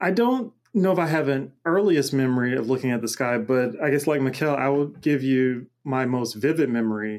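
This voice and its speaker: Speaking at a moderate pace with hardly any pauses, a man with an American accent has an unremarkable speaking voice, medium pitch, ordinary pitch variation and very even loudness, on a very clean recording with a silent background. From US South, Macon, Georgia. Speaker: cosmologist and multimedia artist. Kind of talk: interview conversation.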